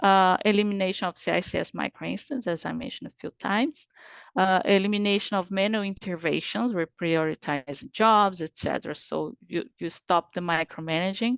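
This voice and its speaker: Against a quiet background, a woman with a Portuguese accent talks at a fairly quick pace with hardly any pauses, her medium pitch showing ordinary variation and her loudness swinging widely. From Brazil. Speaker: IT performance and capacity specialist. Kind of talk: webinar presentation. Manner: halting, many fillers.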